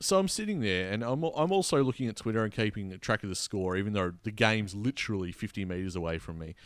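A man with an Australian accent, fairly low pitch, lively intonation and a very fast pace, on a very clean recording with a silent background. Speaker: podcast host. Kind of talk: casual chat, sports recap.

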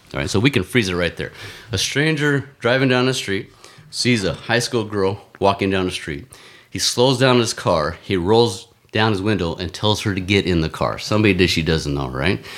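Over a silent background in a very clean recording, a man with a fairly low pitch uses an ordinary speaking voice at a moderate pace with lively intonation. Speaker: marathon runner and ex-Marine. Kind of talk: casual chat. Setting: studio.

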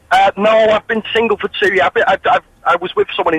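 Noticeable background noise runs through the clip. Over it, a man talks at a fairly quick pace. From Manchester. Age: 30s. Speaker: caller. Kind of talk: phone-in anecdote.

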